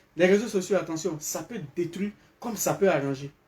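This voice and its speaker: An animated, high-pitched man at a fairly quick pace, with ordinary pitch variation and noticeable background noise. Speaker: live streamer. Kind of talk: live stream commentary. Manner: loud.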